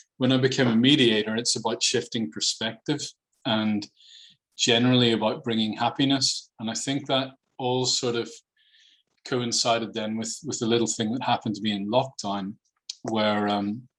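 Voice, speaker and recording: In a Northern Irish accent, a man speaks at a moderate pace with a medium pitch and fairly even intonation. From Northern Ireland. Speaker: mediator and children's author. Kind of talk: podcast interview. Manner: hesitant, many fillers and repeats.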